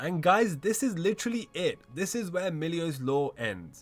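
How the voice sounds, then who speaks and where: A man's pitch swings very widely at a moderate pace, with music in the background. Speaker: gaming lore youtuber. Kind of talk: casual lore narration. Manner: casual, conversational.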